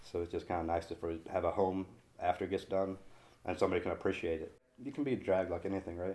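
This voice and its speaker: Very fast and very deep, a man's dark, mellow voice holds a fairly even intonation. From Sweden. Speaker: figure painter and sculptor. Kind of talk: interview. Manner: casual.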